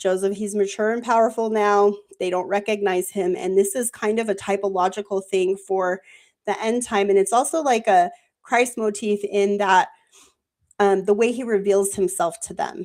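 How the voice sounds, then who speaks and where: A woman with an ordinary speaking voice holds a medium pitch and fairly even intonation, recorded very cleanly against a silent background. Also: moderate pace. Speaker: Bible study panel host. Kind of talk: group Bible study discussion. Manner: casual, filler-heavy.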